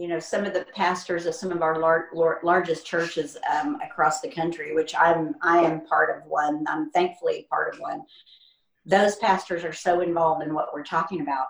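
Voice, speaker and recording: Using a plain, everyday voice, a woman speaks at a moderate pace and fairly low pitch with ordinary pitch variation and big swings in loudness. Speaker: podcast co-host. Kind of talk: interview. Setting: video call.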